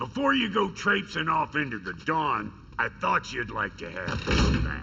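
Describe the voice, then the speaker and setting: A man does a put-on character voice over clear background noise and sound effects. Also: moderate pace. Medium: video game. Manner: gruff, brusque.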